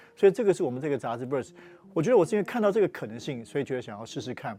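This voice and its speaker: A man is speaking. His tone is dark and mellow. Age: 40s. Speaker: magazine founder. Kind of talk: talk show interview.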